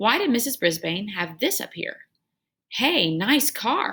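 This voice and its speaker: A woman performs a put-on character voice at a fairly high pitch. She speaks at a fairly slow pace with very wide pitch swings. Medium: read story.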